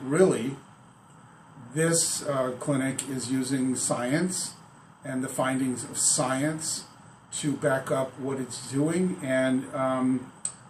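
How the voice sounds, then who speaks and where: A man's medium-pitched voice at a very slow pace, fairly even in intonation, with audible room echo and noticeable background noise. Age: 60s. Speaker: patient. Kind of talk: testimony. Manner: halting, many fillers.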